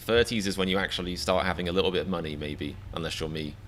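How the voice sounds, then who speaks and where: A man with an English accent, very deep and low in pitch with ordinary pitch variation, at a very fast pace. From England. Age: 30s. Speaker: comedian reaction streamer. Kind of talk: live stream chat. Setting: live stream. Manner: animated; stammering repetitions.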